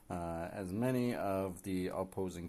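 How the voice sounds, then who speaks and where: Mumbling, a man speaks at a very deep, low pitch with ordinary pitch variation. His tone is dark and mellow. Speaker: gaming streamer. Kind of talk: live gameplay commentary. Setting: live stream. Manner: hesitant, many fillers.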